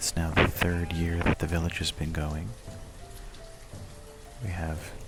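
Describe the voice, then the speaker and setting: Music plays in the background as someone whispers, soft-spoken. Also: man. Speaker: ASMR gaming video host. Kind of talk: ASMR guided game walkthrough, calming narration. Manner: soft-spoken, whispered, calming.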